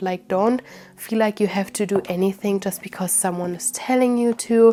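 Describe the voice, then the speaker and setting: Speaking at a moderate pace, a woman with a German accent has a medium pitch and a dark, mellow tone. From Germany. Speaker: witchcraft YouTuber. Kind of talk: casual chat.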